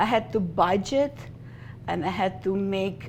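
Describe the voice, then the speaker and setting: A woman speaks with a Russian accent and ordinary pitch variation. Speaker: bookkeeper and business founder. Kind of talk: interview.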